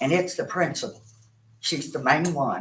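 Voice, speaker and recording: Speech in an Appalachian accent at a moderate pace. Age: 60s. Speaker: grandparent speaking at public comment. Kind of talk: public comment at board meeting.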